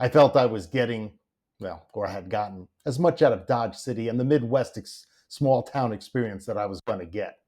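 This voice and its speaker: A man's medium-pitched voice, dark and mellow, at a fairly quick pace with big swings in loudness and ordinary pitch variation. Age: 60s. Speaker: memoir narrator. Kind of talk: reflective memoir narration. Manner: conversational, reflective.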